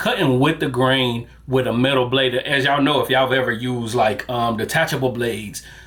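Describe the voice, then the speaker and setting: A man at a fairly quick pace with fairly even intonation and hardly any pauses, over noticeable background noise. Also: medium pitch for a man, very even loudness. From US South. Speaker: barber. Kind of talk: product review. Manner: casual, with many fillers.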